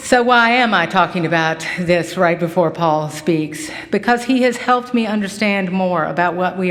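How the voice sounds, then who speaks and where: With an American accent, a woman talks at medium pitch and a moderate pace with ordinary pitch variation, amid noticeable background noise and audible room echo. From Kentucky, Henry County. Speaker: farm advocacy center director. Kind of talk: speech introducing a lecturer.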